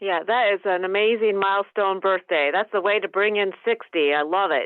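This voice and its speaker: A woman with an American accent talks at a moderate pace in a plain, everyday voice, her pitch medium for a woman. Her loudness stays very even and her intonation fairly even. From US Midwest. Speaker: interview host. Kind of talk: interview. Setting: video call.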